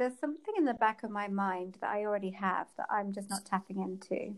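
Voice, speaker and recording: Using an English accent, a woman speaks with a fairly high pitch and ordinary pitch variation. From England. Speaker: period and fertility coach. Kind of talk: interview.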